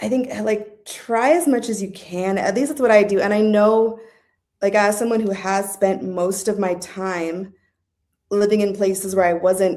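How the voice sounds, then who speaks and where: A woman speaks at a moderate pace and medium pitch in an ordinary speaking voice. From Southern California. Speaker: podcast guest. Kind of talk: casual interview chat. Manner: casual, many fillers.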